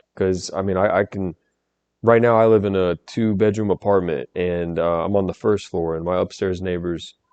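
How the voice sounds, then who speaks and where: At a moderate pace, a man is talking. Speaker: YouTube commentator. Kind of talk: reaction commentary. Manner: halting.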